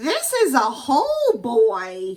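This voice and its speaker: A woman puts on a character voice pitched high. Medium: read story. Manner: gleefully menacing.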